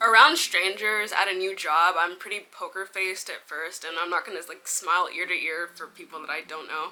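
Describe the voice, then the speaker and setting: A woman speaks in an ordinary speaking voice at medium pitch, with ordinary pitch variation. She talks at a fairly quick pace with hardly any pauses and big swings in loudness. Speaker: vlogger. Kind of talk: casual storytelling vlog.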